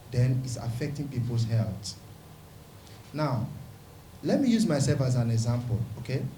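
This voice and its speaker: A man with a dark, mellow, somewhat breathy tone talks at a moderate pace with long, frequent pauses. His medium pitch stays fairly even, and room echo is audible. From Nigeria, Rivers State (Niger Delta). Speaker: pastor and community leader. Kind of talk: press conference statement.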